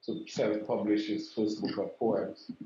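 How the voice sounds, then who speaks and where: A man with a Saint Lucian accent, fairly low in pitch, at a moderate pace, with audible room echo. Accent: St. Lucian English. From St. Lucia. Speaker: regional intergovernmental director, education official; interviewee. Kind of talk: interview. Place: office.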